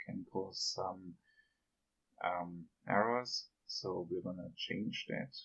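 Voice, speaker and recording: A man talks with a non-native accent. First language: not English. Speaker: game developer tutor. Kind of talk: software tutorial narration.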